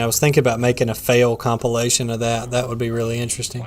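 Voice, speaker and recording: A man with a Southern US accent at a medium pitch, talking at a very fast pace amid noticeable background noise. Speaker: gaming streamer. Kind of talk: casual live stream chat while gaming.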